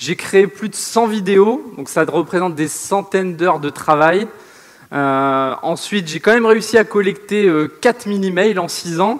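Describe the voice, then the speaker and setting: A man's high voice at a fairly slow pace with ordinary pitch variation. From northern France. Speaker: online entrepreneur. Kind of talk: seminar presentation.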